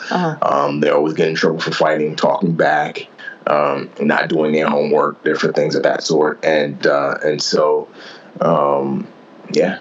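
With an American accent, the speaker talks fairly slowly at very even loudness over noticeable background noise. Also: man. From New York City, the Bronx. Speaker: author and former Navy SEAL. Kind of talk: interview.

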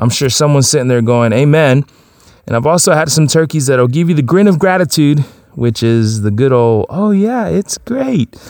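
Recorded with a dry, close sound and no echo, a man speaks at a moderate pace in an unremarkable speaking voice of fairly high pitch. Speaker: podcast host. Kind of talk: casual chat.

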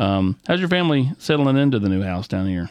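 A man speaks with a Southern US accent. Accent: Southern US, country twang. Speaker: sports podcast host. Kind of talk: interview.

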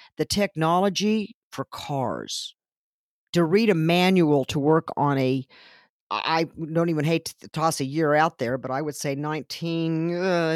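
In an American accent, a woman with a fairly low pitch and ordinary pitch variation speaks in an energetic tone at a moderate pace, on a very clean, silent recording with a dry, close sound and no echo. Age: 60s. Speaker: technology center staff member. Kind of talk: interview.

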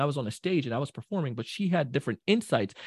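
A man talks very fast in an animated, somewhat breathy tone with very wide pitch swings, recorded dry and close with no echo against a quiet background. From Jamaica. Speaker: sales trainer. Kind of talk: casual chat.

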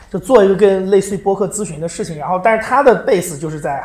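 A high-pitched man at a very fast pace, with ordinary pitch variation, noticeable background noise and audible room echo. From China. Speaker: podcast producer. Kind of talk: live public talk. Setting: stage with audience.

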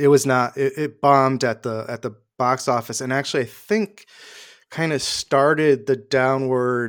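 A man with an American accent talks in a plain, everyday voice at a medium pitch with ordinary pitch variation. The recording is very clean, with a silent background. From Hartford, Connecticut, US. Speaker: multimedia producer and podcaster. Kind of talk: casual chat.

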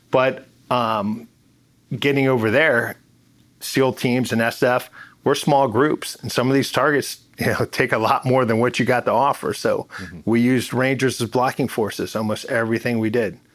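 A man with an American accent has an ordinary speaking voice at medium pitch. He talks at a moderate pace with fairly even intonation on a very clean recording with a silent background. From US Mid-Atlantic, Maryland (Bethesda). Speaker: retired special forces veteran and restaurant owner. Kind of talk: casual interview.

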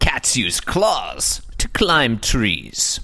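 In a put-on character voice, a man sounds raspy.

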